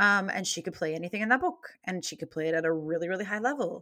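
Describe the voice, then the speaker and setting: A woman with an American accent speaks in a bright, sharp tone in a very clean recording with a silent background. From North Carolina, rural. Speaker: Broadway music director and conductor. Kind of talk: interview.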